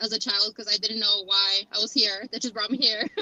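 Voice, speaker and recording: A woman speaks with a Mexican accent at a fairly high pitch. Her intonation is monotone and flat, and the sound is dry and close with no echo. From Kansas, raised from age eight after early childhood in Mexico. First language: Spanish. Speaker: model and actress. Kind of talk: interview.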